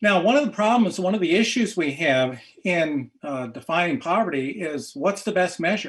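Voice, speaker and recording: Barely pausing, a man with a high voice speaks at a moderate pace with lively intonation. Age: 70s. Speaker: economics professor. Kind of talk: presentation with slides. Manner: halting, many fillers.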